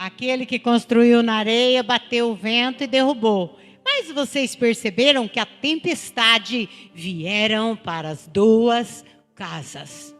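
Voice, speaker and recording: A woman's fairly high voice, with ordinary pitch variation, unfolds at a very slow pace. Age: 60s. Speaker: churchgoer giving testimony. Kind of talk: testimony.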